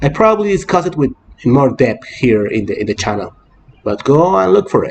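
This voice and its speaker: Here a man speaks with a medium pitch. His voice makes very wide pitch swings. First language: Spanish. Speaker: fan channel host. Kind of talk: casual news vlog. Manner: halting, with many fillers and repetitions.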